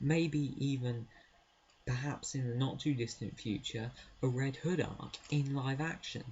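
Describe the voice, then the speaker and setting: A man is whispering. The sound is quiet. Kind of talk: casual talk to camera. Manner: quiet, whispered.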